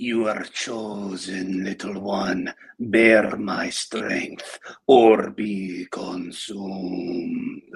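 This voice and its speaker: In a raspy put-on character voice, a man speaks at a very slow pace with fairly low pitch. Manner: commanding, ominous.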